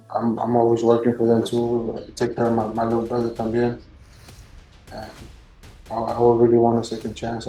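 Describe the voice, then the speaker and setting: With a Spanish accent, a man speaks at a moderate pace and medium pitch in a flat monotone, pausing long and often amid audible room echo. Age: 20s. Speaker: defendant. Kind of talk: courtroom plea. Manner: halting, stammering.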